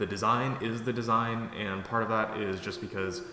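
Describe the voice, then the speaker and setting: Noticeable background noise and audible room echo accompany a man speaking with fairly even intonation. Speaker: product creator and YouTuber. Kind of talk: casual update video. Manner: fast; many fillers (um, uh).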